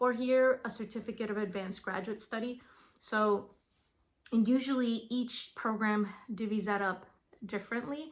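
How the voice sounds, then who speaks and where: A woman with a Spanish accent, a fairly high pitch and fairly even intonation. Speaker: school psychologist. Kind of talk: informational talk. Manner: casual, with fillers.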